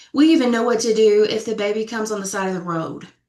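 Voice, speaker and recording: A woman with a slight Southern US accent speaks at a fairly high pitch with ordinary pitch variation. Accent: slight Southern twang. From Middle Tennessee, Sumner County. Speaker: death doula and funeral professional. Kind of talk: panel discussion.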